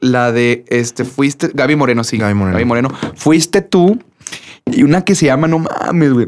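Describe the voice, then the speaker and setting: With lively intonation, a man talks at a moderate pace in a medium pitch. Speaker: podcast co-host and singer. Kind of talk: casual chat.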